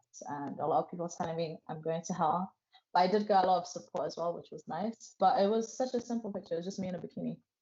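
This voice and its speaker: Somewhat breathy and at a medium pitch, a woman talks at a very fast pace with ordinary pitch variation. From England. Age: 20s. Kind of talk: interview testimony.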